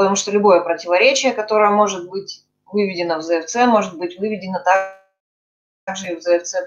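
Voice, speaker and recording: A woman talks at a fairly quick pace, and her loudness swings widely. Her pitch varies in an ordinary way, and she pauses often and at length. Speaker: discussion group participant. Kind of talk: academic discussion. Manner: formal. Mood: inquisitive, thoughtful. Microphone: video call.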